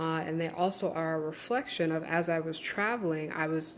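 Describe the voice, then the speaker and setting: A woman speaks at a moderate pace with a very deep, low pitch. Audible room echo surrounds her voice. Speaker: online course creator and spiritual teacher. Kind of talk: live stream talk.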